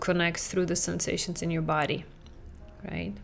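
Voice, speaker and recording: A woman is speaking. She has a non-native accent. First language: not English. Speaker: parenting coach and podcast host. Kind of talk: podcast monologue. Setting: talking into a camera. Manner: conversational.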